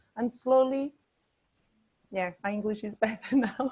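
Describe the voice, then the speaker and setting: A woman with a Portuguese accent speaks at a fairly high pitch with fairly even intonation. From Portugal, Bragança. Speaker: charity worker for the homeless. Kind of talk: interview. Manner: halting.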